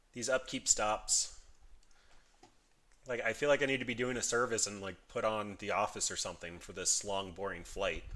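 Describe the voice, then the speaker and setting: The speaker is a man with a bright, sharp tone. His pitch sits in the medium range. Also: ordinary pitch variation. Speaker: gaming streamer. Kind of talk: live gameplay commentary. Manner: fast; casual.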